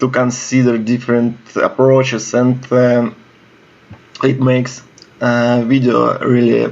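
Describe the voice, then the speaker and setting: This man talks at a very slow pace with long, frequent pauses and a medium pitch. His intonation is flat and monotone, over noticeable background noise. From Russia. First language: Russian. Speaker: video game commentator. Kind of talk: gameplay commentary. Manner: halting, many fillers.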